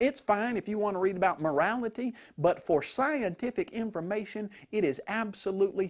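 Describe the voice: Ordinary pitch variation throughout plain reading aloud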